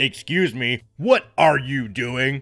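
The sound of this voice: A man's put-on character voice at medium pitch, with faint music in the background.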